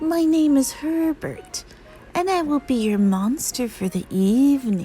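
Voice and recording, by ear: Someone uses a put-on character voice at a fairly slow pace with clear background noise behind it. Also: woman, high pitch for a woman.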